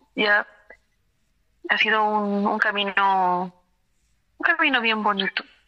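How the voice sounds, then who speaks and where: A woman with a medium pitch talks fairly slowly, her intonation fairly even. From Peru, Cusco. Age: 30s. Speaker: dentist. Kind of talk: testimony.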